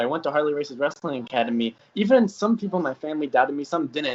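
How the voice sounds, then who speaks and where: Here a man talks at a fairly quick pace with lively intonation. He has a normal speaking voice. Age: 20s. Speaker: YouTuber interviewer. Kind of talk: casual interview.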